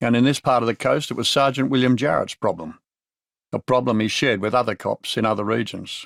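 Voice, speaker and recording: A man speaks with an Australian accent at a medium pitch and a fairly quick pace. The sound is dry and close with no echo, and the recording is very clean over a silent background. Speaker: audiobook narrator. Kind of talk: audiobook narration of a crime novel. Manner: dry, laconic, wry.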